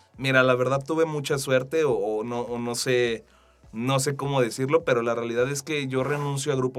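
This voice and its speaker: Pitched in the middle range, the man's voice holds a mostly level intonation. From Mexico, Aguascalientes. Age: 20s. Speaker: digital marketing specialist. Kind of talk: interview. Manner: halting, many fillers.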